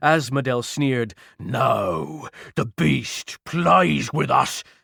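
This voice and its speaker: A man's put-on character voice, growling, raised and projected, at a medium pitch and a very slow pace. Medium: read story. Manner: domineering, coarse.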